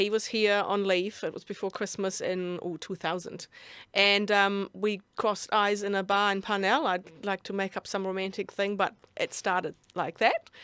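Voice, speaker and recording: Her pitch is medium and her intonation monotone and flat. The woman talks at a moderate pace in a very clean recording with a silent background. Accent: German. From Germany. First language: German. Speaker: business mentor and author. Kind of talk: interview. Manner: loud.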